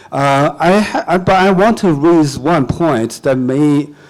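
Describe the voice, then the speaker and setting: A man with a Chinese accent talks in a fairly high pitch. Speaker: comedian. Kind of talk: panel discussion.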